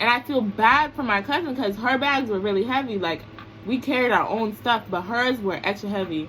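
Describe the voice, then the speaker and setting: A woman's fairly high voice with an American accent, ordinary pitch variation, and noticeable background noise. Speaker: vlogger. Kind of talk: storytime vlog. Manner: mumbling.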